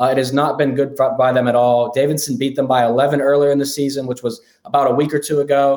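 A fairly high male voice in an American accent, monotone and flat, very fast with hardly any pauses and very even loudness. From Pittsburgh area, Pennsylvania. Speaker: sports betting analyst. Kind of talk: casual sports betting chat.

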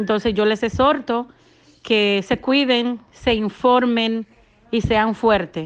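At a very slow pace, a woman speaks with very even loudness. Her fairly high voice keeps fairly even intonation. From Dominican Republic. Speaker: daycare owner. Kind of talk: testimony.

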